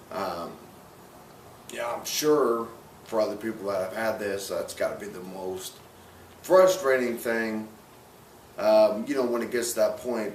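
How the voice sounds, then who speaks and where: Male voice with audible room echo and noticeable background noise. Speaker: person living with ALS. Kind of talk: interview. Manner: slow, sometimes slurred speech.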